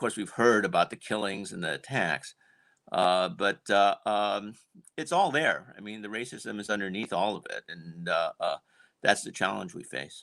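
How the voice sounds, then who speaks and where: A man with an American accent speaks at a moderate pace in a fairly low pitch, his tone bright and sharp. The sound is dry and close with no echo, and his loudness swings widely. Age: 60s. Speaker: panelist. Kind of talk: panel discussion. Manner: halting.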